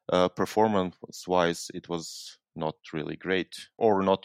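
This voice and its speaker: With a Serbian accent, a man speaks in a very deep, low pitch with fairly even intonation at a fairly slow pace. The sound is dry and close with no echo, over a quiet background. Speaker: university lecturer and software developer. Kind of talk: interview. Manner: halting.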